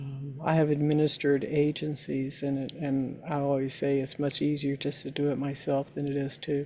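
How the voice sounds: Her low-pitched voice has a dark, mellow tone with a slightly husky edge, and the woman talks at a fairly slow pace in a monotone, flat intonation.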